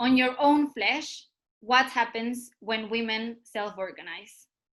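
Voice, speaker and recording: The woman's voice is high-pitched, with a bright, sharp tone. She talks at a fairly slow pace with fairly even intonation. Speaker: activist speaker. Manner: impassioned.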